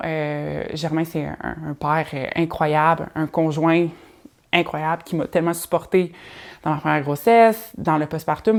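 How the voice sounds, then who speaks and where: This woman's voice sits at a fairly low pitch. Her pitch varies an ordinary amount. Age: 30s. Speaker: podcast host. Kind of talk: casual solo podcast monologue. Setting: at home in living room. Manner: hesitant, many fillers.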